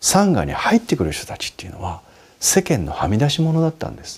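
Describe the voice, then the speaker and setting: With a somewhat breathy quality, a man speaks in a dark, mellow tone. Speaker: Buddhist monk answering listener questions. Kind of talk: advice talk.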